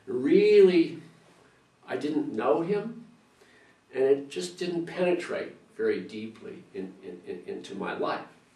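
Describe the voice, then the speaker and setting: Speech comes at a very slow pace with long, frequent pauses. Audible room echo, big swings in loudness and noticeable background noise run through it. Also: man. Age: 60s. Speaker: church member. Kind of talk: testimony. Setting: interview. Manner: halting, many repetitions and fillers.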